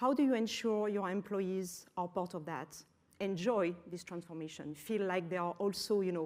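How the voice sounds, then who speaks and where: In a French accent, a woman speaks at a moderate pace with medium pitch and ordinary pitch variation. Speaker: business executive. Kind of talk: conference talk. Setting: auditorium with audience.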